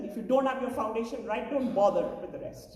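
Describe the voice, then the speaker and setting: A high-pitched woman at a very fast pace, with audible room echo and noticeable background noise. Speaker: education NGO chief executive. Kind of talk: conference keynote speech.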